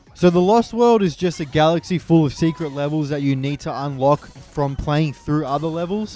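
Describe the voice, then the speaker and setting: Noticeable background noise sits behind a man with a fairly high voice who talks at a fairly quick pace with ordinary pitch variation. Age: 20s. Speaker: gaming youtuber. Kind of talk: gameplay commentary. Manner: casual.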